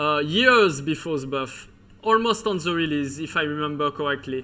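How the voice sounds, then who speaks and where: A man's bright, sharp voice in a strong Breton accent, with lively intonation. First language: French. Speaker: video game commentator. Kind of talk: live commentary. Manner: halting, many fillers.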